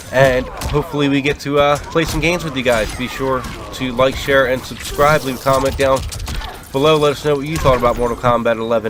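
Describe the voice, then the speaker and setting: At a fairly quick pace, a man talks with fairly even intonation over noticeable background noise. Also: medium pitch for a man. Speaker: video game reviewer. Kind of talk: video review. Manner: stutter; casual, hesitant with fillers.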